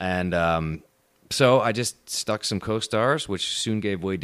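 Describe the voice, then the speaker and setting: A man speaks with an American accent in a very clean recording with a silent background. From upstate New York. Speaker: actor. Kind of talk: casual chat.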